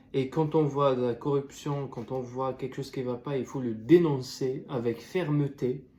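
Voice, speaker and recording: A man's somewhat breathy, dark and mellow voice at medium pitch, with fairly even intonation. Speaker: student youtuber. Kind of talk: video essay commentary. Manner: halting, many fillers and restarts.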